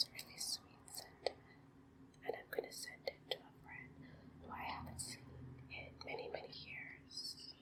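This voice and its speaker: Everything is whispered. The delivery is fairly slow. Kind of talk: ASMR card haul presentation to camera. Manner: soft-spoken, relaxing.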